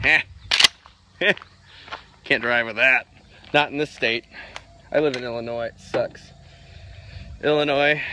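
A man talks at a moderate pace with long, frequent pauses, in a dry sound with no echo over noticeable background noise. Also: ordinary pitch variation. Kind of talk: casual vlog chat.

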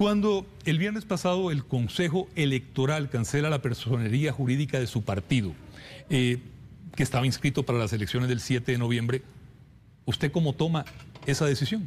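The voice is somewhat breathy, with lively intonation at a moderate pace. Loudness stays very even over light background noise. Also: man. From Costa Rica. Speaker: TV journalist; TV news presenter, interviewer. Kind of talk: news interview. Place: studio.

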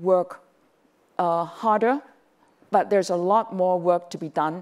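The speaker is a woman. Her pitch variation is ordinary. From Hong Kong. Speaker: business executive; panelist. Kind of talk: panel discussion. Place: stage. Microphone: lapel.

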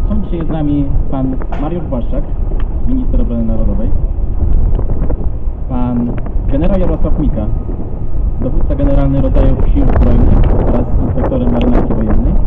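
A man speaks at a fairly quick pace. Loud background noise runs beneath him. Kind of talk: formal ceremony announcement. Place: waterside.

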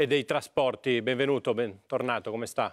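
This man talks at a moderate pace with fairly even intonation. The background is quiet. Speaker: TV morning show host. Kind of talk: TV interview questioning. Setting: TV studio. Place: studio.

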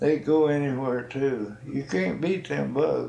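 A man at a very slow pace, with audible room echo. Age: 80s+. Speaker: retired rancher. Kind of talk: interview answer. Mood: relaxed reminiscing. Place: home room. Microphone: old recording.

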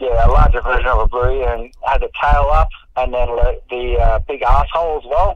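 Moderately paced speech from a man with an Australian accent. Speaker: mountain bike rider. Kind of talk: interview answer. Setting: phone line. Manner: casual, hesitant.

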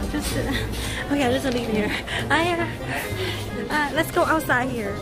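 Loud music fills the background. A woman talks over it. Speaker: livestreamer. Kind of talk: casual vlog chat. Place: station. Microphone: phone near.

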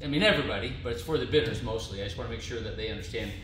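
The clip carries audible room echo and light background noise. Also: man. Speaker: seller showing a vehicle. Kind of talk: walkaround commentary. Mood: relaxed, lightly amused. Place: garage. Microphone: camera far.

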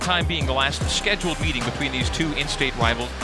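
Dry sound with no echo over loud background music. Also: man. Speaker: radio play-by-play announcer. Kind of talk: live sports radio play-by-play call. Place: booth.

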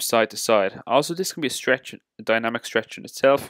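At a fairly quick pace, a man speaks with ordinary pitch variation, the sound dry with no echo over a quiet background. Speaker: fitness coach. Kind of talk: tutorial. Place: gym.

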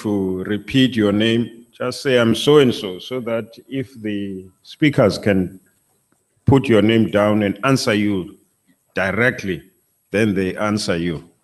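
Over a quiet background, a man speaks at a very slow pace. His pitch is medium, with ordinary pitch variation. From South Africa. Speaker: university vice chancellor; moderator of a panel discussion. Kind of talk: moderating. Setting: stage with audience. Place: hall. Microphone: podium.

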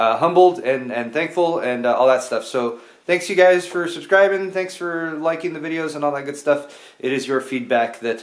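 A man's voice, with ordinary pitch variation and a moderate pace, comes through over a quiet background. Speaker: tech video creator. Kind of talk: casual vlog chat. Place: garage. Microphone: phone near.

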